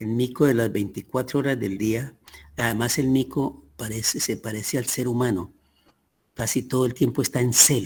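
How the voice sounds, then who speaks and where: This man's voice sits at a medium pitch and is somewhat breathy. His intonation stays fairly even. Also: moderate pace. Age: 80s+. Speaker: teacher. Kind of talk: lecture.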